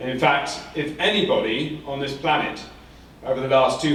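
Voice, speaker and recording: Against noticeable background noise and audible room echo, a man speaks at a moderate pace with an English accent. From England. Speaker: professor. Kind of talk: conference talk. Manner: halting, many fillers and repetitions.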